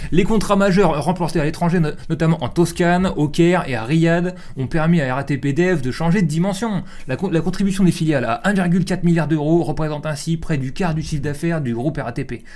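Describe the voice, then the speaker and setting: The man's pitch is fairly high, with ordinary variation. He talks at a fairly quick pace. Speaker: streamer and show host. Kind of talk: reading aloud news articles with commentary. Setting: live stream. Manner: fast; casual, colloquial.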